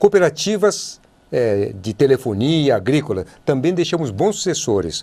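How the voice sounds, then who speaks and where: A man with vocal fry talks at a moderate pace with very wide pitch swings, on a very clean recording with a silent background. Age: 70s. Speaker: politician. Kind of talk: TV interview. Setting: TV studio.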